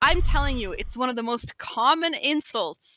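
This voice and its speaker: A woman with an American accent and a bright, sharp tone, recorded with a dry, close sound and no echo. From United States. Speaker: competitive PvP gamer. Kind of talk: casual chat.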